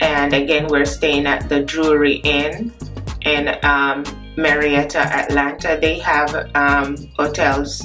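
Over clear music in the background, a woman with a very deep, low pitch speaks very slowly in a monotone, flat intonation. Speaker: travel vlogger. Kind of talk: casual vlog chat. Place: home room. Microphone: phone near.

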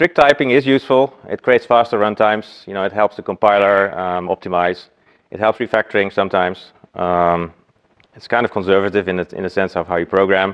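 A man's fairly low voice at a fairly quick pace, with ordinary pitch variation and big swings in loudness. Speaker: conference speaker. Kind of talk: lecture. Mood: relaxed, jokey. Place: meeting room.

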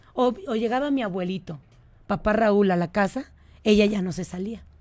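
Fairly high in pitch, a woman with a dark, mellow tone speaks at a moderate pace, her pitch varying in an ordinary way. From Mexico City. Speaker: state tourism official and businesswoman. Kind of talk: radio interview.

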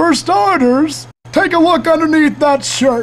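The voice is high in pitch. It moves at a fairly slow pace. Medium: comedy sketch. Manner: kindly, lecturing.

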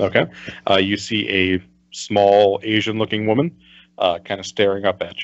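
The speaker is doing plain reading aloud.

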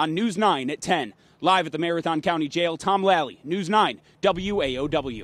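A man speaks at a moderate pace in a high voice with ordinary pitch variation, and the sound is dry with no echo. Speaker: TV news reporter. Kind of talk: news report sign-off. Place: street. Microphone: handheld.

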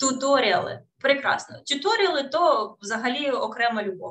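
The background stays quiet. The voice belongs to a woman. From Ukraine, Kherson; Ukraine. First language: Russian (speaking Ukrainian). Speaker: English teacher. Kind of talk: webinar lecture. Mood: warm, encouraging. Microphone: webcam.

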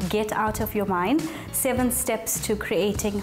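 Clear music plays in the background as a woman speaks at a very slow pace with fairly even intonation. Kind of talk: interview answer. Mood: warm, confident. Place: cafe.

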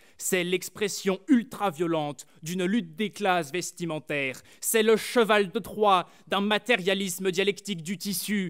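A man speaks at a high pitch. The background is quiet. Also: ordinary pitch variation, fairly slow pace. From France, rural Burgundy. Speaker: student orator; speaker. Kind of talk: eloquence contest speech. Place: stage. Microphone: podium.

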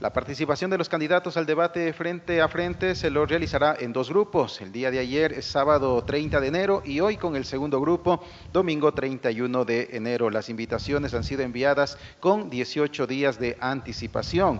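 A man at a moderate pace, fairly high in pitch, with ordinary pitch variation and hardly any pauses. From Ecuador. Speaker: journalist, debate moderator. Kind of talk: formal debate moderation. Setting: stage in a theatre. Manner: hesitant, many fillers. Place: stage. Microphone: handheld.

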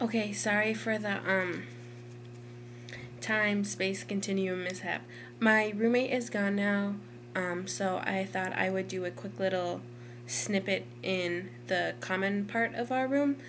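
A loud woman's voice with very wide pitch swings, over light background noise. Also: fairly slow pace. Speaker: college student. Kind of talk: casual talk to camera. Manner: somewhat louder, hesitant with many ums. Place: home room. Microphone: webcam.

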